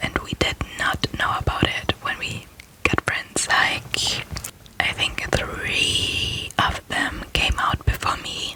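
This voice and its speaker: Noticeable background noise surrounds a whisper that moves at a very slow pace. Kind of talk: ASMR personal ramble. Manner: whispered.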